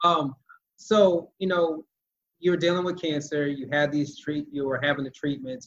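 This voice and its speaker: This is an ordinary speaking voice with fairly even intonation. It keeps a moderate pace. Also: man, fairly high pitch for a man. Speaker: podcast host. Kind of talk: casual interview.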